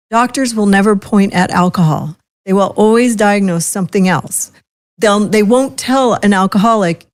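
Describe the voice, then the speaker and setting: A woman talks at a moderate pace in a plain, everyday voice. Her pitch is medium and her loudness very even. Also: ordinary pitch variation. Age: 60s. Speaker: podcast host. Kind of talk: casual chat.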